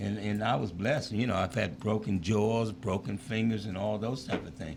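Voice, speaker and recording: A man speaks at a fairly low pitch. Audible room echo surrounds his voice. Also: ordinary pitch variation, moderate pace. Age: 70s. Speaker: former pro football player and school teacher. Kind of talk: interview chat. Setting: live show.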